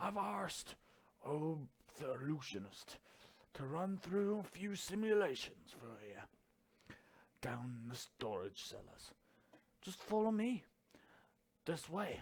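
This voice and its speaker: A man's gruff put-on character voice, fairly high in pitch, with very wide pitch swings, big swings in loudness, long, frequent pauses and a fairly slow pace. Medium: game stream. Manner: archaic, gruff.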